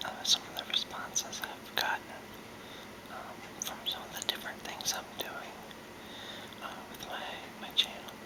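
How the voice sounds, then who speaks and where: A man whispers in a relaxed tone at a moderate pace, with long, frequent pauses. His loudness swings widely over noticeable background noise. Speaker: video blogger. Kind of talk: casual talk to camera. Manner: whispered, relaxed, free-form.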